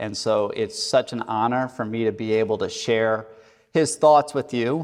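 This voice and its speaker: A man talks fairly slowly at a medium pitch in an unremarkable speaking voice. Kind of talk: interview questions.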